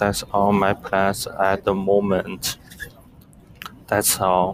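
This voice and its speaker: Very slowly and in a flat monotone, a man speaks at a fairly low pitch. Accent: non-native. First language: not English. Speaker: English language student. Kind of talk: spoken class assignment. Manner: halting.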